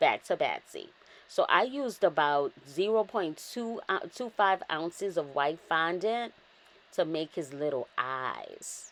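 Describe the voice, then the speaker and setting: Speaking at a very slow pace in a New Orleans accent, a woman has an upbeat tone and lively intonation. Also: fairly low pitch for a woman. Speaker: cake decorator. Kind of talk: narrated craft tutorial. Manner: casual, upbeat.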